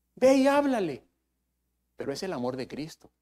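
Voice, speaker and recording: A man speaks at a fairly slow pace. His pitch swings very widely. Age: 70s. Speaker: preacher. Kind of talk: sermon.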